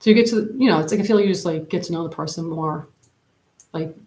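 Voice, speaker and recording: A woman with a fairly low pitch and ordinary pitch variation sounds somewhat breathy. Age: 40s. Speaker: YouTuber live streamer. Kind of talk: casual chat. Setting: live stream on camera. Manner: rambling, filler-heavy.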